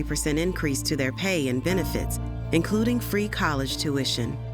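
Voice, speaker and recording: Music plays in the background while a woman speaks at a moderate pace. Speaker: voice actor. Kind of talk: documentary narration.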